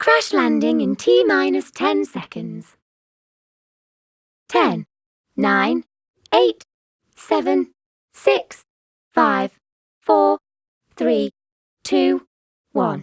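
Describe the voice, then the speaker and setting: A put-on character voice moves at a very slow pace with long, frequent pauses and very wide pitch swings. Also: woman, very deep, low pitch for a woman. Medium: solo performance. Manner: flat, mechanical.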